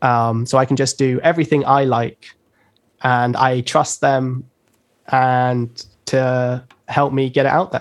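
Slow and flat, a man with a London accent talks in a monotone at a medium pitch with very even loudness and long, frequent pauses. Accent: British English, London. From London, England. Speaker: rapper and producer. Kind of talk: casual interview chat. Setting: video call live stream.

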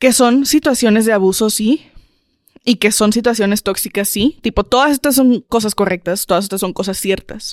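A woman speaks at a moderate pace in fairly high pitch, using an ordinary speaking voice. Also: ordinary pitch variation, dry, close sound with no echo. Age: 20s. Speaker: podcast co-host. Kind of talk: casual chat.

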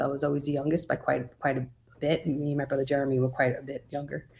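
Somewhat breathy, a woman speaks at a very deep, low pitch with fairly even intonation. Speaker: podcast co-host in recovery. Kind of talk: casual interview.

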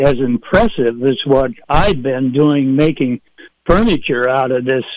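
A man with an ordinary speaking voice talks at a fairly slow pace, his pitch fairly high. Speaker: caller. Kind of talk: casual call-in question. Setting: phone call.

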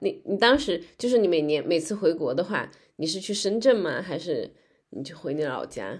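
A woman speaks in an unremarkable speaking voice with lively intonation. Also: fairly low pitch for a woman, moderate pace. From China, Guangzhou. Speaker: podcast host. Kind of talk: interview; scripted narration.

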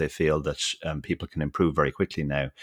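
A man talks at a fairly quick pace. The recording is very clean with a silent background and a dry, close sound with no echo. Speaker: professional poker player and podcaster. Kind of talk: casual interview.

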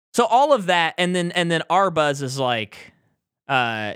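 The voice belongs to a man with a bright, sharp tone. His intonation is lively. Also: very clean recording, silent background. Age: 20s. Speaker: movie podcast host. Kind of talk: casual chat.

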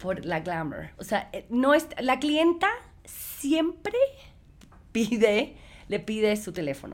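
The speaker goes very slowly, with long, frequent pauses and very wide swings in pitch. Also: woman, fairly high pitch for a woman. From United States, Cuban parents. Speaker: entrepreneur. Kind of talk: casual interview. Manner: code-switching Spanish and English; halting.

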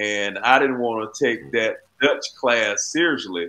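Speaking with an Alabama accent, a man talks at a fairly slow pace. His medium-pitched voice has a bright, sharp tone. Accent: Southern US (Alabama). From Alabama, US South (Sumter County). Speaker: former basketball player and county commissioner. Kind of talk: interview.

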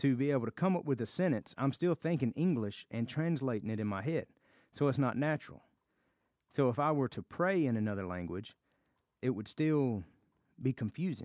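A man with a Southern US accent talks at a fairly quick pace, his pitch medium and his intonation lively. Long, frequent pauses break up his speech, and the sound is dry and close with no echo over a quiet background. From US South. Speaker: Bible study teacher. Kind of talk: Bible study teaching.

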